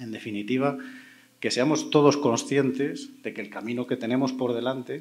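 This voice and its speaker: A man with a Spanish accent, medium pitch, ordinary pitch variation and a moderate pace. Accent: Spanish (Spain). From Spain. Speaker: panel moderator, cybersecurity expert; panel moderator. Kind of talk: panel moderation. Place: stage. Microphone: handheld.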